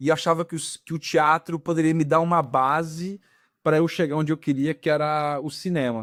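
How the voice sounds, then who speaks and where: A plain, everyday voice of a man, fairly high-pitched, at a moderate pace, with a dry, close sound and no echo. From Rio de Janeiro, Brazil. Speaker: actor and film director. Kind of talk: casual interview. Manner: relaxed, conversational.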